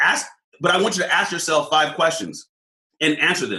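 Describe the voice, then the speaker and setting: A man speaks in an American accent with a bright, sharp tone. Vocal fry runs through his voice. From Southern California. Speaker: leadership coach, former police officer. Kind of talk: casual interview chat. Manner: animated.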